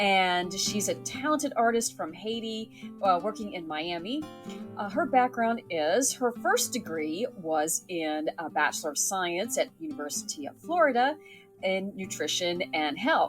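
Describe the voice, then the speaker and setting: Over music in the background, a woman speaks at a fairly slow pace with hardly any pauses. Her medium pitch moves in very wide swings. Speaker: artist, interview host. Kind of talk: casual video interview.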